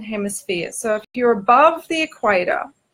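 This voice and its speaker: A woman's voice sits fairly high, with a bright, sharp tone. She moves at a moderate pace with very wide pitch swings. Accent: Australian. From Australia. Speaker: spiritual teacher and author. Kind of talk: informal spiritual talk to camera. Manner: hesitant, many fillers (um, okay).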